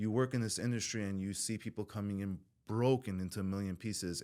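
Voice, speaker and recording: A man speaks with a Southern California accent at a fairly low pitch with ordinary pitch variation. The recording is very clean with a silent background. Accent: Southern California American English. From Southern California, born in Iran. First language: Farsi (also Armenian). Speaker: recovering addict, former prisoner. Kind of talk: podcast interview, personal testimony. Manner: casual, halting with many fillers.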